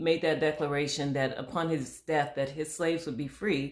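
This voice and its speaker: Pitch moves with ordinary variation. The voice comes with an American accent. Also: woman. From Michigan. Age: 60s. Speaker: history podcast host. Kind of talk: casual conversation about history.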